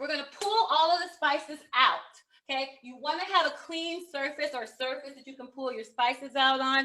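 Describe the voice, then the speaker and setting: A woman's raised, projected voice, high-pitched and bright and sharp in tone. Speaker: professional organizer. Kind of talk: tutorial. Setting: video call.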